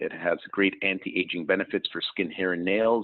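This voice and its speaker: A man with a fairly low pitch, speaking at a fairly quick pace. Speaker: wellness product distributor hosting call. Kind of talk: sales presentation. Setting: conference call with slides. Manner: fast.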